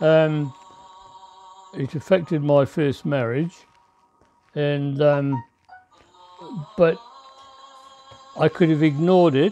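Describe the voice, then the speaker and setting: Very slowly and with long, frequent pauses, a man speaks in a fairly high voice with fairly even intonation while music plays in the background. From New Zealand. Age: 80s+. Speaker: war veteran. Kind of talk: interview answer.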